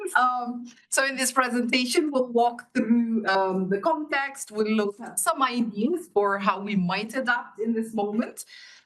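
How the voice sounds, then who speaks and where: Fairly slow delivery with ordinary pitch variation and hardly any pauses. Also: woman, high pitch for a woman. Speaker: education NGO director, conference speaker. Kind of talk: conference presentation. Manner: loud.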